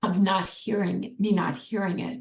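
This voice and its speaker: A woman speaks with vocal fry. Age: 60s. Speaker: art therapist and meditation teacher. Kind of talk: interview conversation. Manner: halting.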